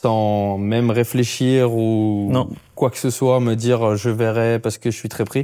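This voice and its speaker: Dark and mellow in tone, the voice has ordinary pitch variation. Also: man. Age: 30s. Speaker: podcast host and fitness coach. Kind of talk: casual interview. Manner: halting.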